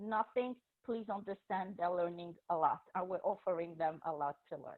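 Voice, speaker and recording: This woman has a French accent, a medium pitch, a moderate pace and fairly even intonation. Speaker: teacher and school administrator. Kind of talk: presentation to parents.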